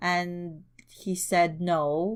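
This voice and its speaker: Her voice sits fairly low in pitch, and the woman speaks with a non-native accent. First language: not English. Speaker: podcast co-host. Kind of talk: casual chat.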